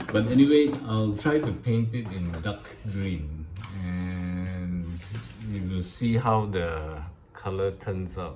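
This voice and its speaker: A man with a very deep, low pitch speaks at a very slow pace. The recording has audible room echo and noticeable background noise. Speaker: scale model builder. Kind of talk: casual tutorial / build update. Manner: halting, many fillers.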